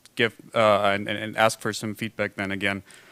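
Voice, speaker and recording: A man with a German accent speaks in a bright, sharp tone, the sound dry and close with no echo. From Germany. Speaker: foundation representative, symposium discussant. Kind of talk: conference panel discussion remarks. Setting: conference with simultaneous translation. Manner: halting, many fillers.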